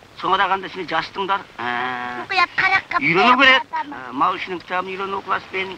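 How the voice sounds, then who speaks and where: A man with a high pitch speaks in a raised, projected voice at a fairly slow pace, his pitch swinging very widely over noticeable background noise. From Xinjiang, China. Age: 60s. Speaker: herder and commune party cadre. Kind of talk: family address to camera.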